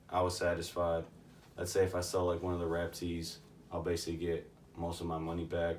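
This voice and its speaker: Audible room echo surrounds a man with a very deep, low pitch. He talks at a fairly quick pace in a monotone, flat intonation. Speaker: vintage clothing reseller. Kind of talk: casual show-and-tell vlog. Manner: casual, filler-heavy.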